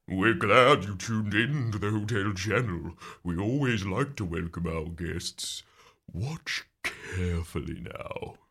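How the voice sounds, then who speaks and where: A man puts on a character voice. He speaks at a fairly slow pace with a fairly low pitch. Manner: creepy.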